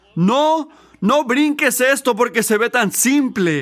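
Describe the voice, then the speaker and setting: Extremely high-pitched and bright, a man's sharp-toned voice carries lively intonation. He speaks at a very slow pace. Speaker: preacher. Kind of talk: sermon. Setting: church. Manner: earnest, teaching-style preaching with emphatic repetition of key points; halting, with restarts and fillers.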